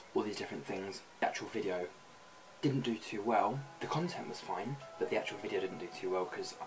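A man talks at a fairly quick pace. Clear music plays behind him. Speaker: vlogger. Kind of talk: casual vlog chat. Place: home room. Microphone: webcam.

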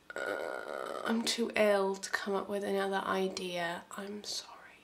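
Fairly slow speech from a woman at medium pitch, noticeable background noise behind her. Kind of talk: casual talk to camera.

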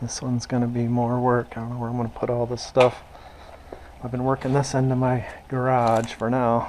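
Someone talks at a fairly quick pace against light background noise. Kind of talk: casual vlog chat. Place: farm machine. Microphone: phone near.

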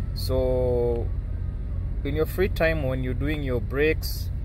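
A man speaks at a very slow pace, his voice dry with no echo over noticeable background noise. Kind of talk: casual vlog chat. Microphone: phone near.

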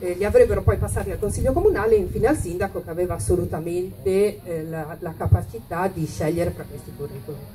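A woman at a fairly low pitch and a very fast pace, with very wide pitch swings, big swings in loudness and light background noise. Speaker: city councillor. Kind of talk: political speech. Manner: reading from notes. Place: stage.

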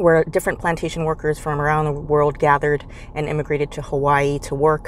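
Light background noise sits behind a woman with a very deep, low pitch, her sound dry with no echo. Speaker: travel vlogger. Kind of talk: casual vlog chat. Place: car. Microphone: phone near.

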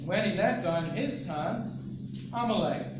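Audible room echo and noticeable background noise both come through in this recording. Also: man. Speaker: scripture reader. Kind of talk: scripture reading. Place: church. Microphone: podium.

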